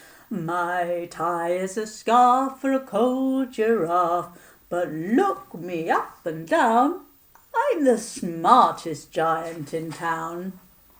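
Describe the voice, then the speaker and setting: Using a put-on character voice, a woman talks at a very slow pace with a medium pitch. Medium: read story. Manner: cheerful, kindly.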